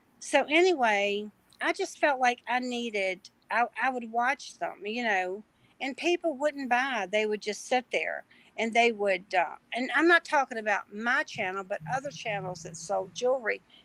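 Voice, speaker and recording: The speech moves at a moderate pace. The recording sounds dry and close, with no echo. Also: woman, fairly high pitch for a woman. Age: 60s. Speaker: online reseller and small YouTuber. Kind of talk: casual chat. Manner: halting, many fillers.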